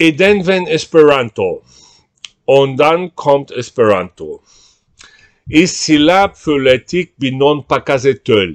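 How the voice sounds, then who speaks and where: Over a quiet background, a man with a fairly high pitch and lively intonation speaks at a very slow pace with long, frequent pauses. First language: Portuguese (speaking German). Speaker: writer on language. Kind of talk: reading aloud of own multilingual essay. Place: home room. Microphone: webcam.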